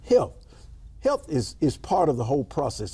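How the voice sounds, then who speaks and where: Vocal fry marks this man's dark, mellow tone as he speaks in a Memphis accent at a fairly high pitch and moderate pace. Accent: Southern US (Memphis). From US South, Memphis, Tennessee. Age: 60s. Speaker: state senator, politician. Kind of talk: interview.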